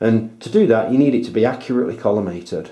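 A man's medium-pitched voice with a dark, mellow tone and a British accent, at a fairly quick pace, with audible room echo. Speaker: amateur astronomer, video tutorial maker. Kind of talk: tutorial. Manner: enthusiastic.

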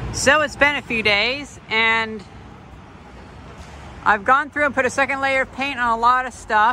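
Heard in a dry sound with no echo and light background noise, a woman speaks with ordinary pitch variation. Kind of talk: casual vlog chat. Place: street. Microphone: phone near.

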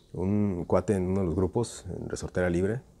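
A man speaks at a fairly low pitch with a Mexican accent. His tone is dark and mellow. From Mexico. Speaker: slingshot youtuber. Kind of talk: tutorial. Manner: casual. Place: garden. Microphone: phone near.

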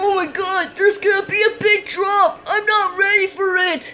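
This put-on character voice sits at an extremely high pitch. The pace is moderate. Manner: excitable, goofy.

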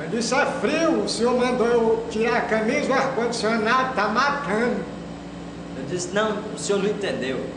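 A man's extremely high-pitched voice with a Brazilian accent, at a moderate pace with ordinary pitch variation, amid noticeable background noise and audible room echo. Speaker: stand-up comedian. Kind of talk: stand-up comedy. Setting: stage with audience. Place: home room.

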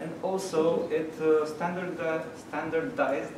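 A man speaks with audible room echo. Noticeable background noise is present. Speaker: meetup host presenting news. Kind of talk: presentation talk. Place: hall. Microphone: camera far.

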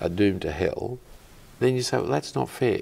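A man's voice with an Australian accent. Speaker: clergyman. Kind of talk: interview. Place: studio. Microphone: lapel.

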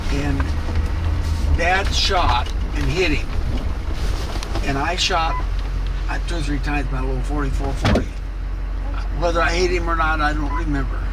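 A man speaking at a moderate pace, with long, frequent pauses over loud background noise. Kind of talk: casual storytelling. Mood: relaxed, reminiscing. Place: car.

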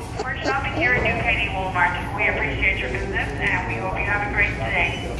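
Speech comes at a fairly quick pace with hardly any pauses, over loud background noise and audible room echo. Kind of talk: store PA announcement. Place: shop.

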